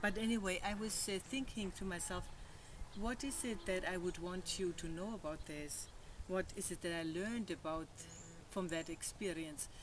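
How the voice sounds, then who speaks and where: This woman speaks with a German accent at a moderate pace. Her pitch sits in the medium range. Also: ordinary pitch variation. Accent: German accent, slightly stronger since stroke. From Germany. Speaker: psychotherapist and physical therapist. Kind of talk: personal testimony. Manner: halting, speech affected by stroke; hesitant, many fillers.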